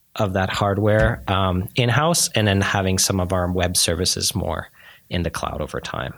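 At a moderate pace, a man with a very deep, low pitch speaks with vocal fry and lively intonation. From Calgary, Alberta, Canada (moved from Montreal at about 11). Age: 30s. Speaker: tech startup founder and CEO. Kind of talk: interview. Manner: hesitant, many fillers and restarts.

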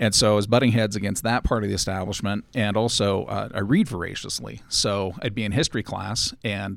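A man with an American accent speaks at a moderate pace in a fairly low pitch, with ordinary pitch variation and some vocal fry. The recording is very clean, with a silent background. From Los Angeles, then Utah. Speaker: panelist on a geek podcast. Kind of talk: casual interview chat.

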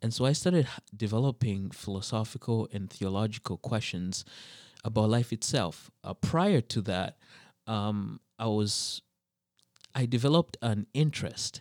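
In a very clean recording with a silent background, a man speaks at medium pitch. He talks at a fairly slow pace with ordinary pitch variation. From Zambia and eastern Canada (New Brunswick). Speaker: PhD student in theology. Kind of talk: casual interview about faith and theology. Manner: halting, many fillers.

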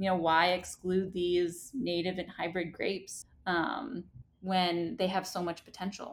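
Having an ordinary speaking voice, a woman with an American accent talks at a fairly slow pace and medium pitch with fairly even intonation. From Staten Island, New York. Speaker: vineyard founder. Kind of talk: casual interview.

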